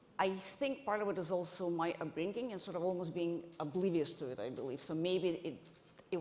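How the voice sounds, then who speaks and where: A woman's fairly low voice at a fairly quick pace, with ordinary pitch variation and audible room echo. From Ukraine, Odessa. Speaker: venture investor, conference panelist. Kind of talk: panel discussion. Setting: stage with audience. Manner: halting, many restarts.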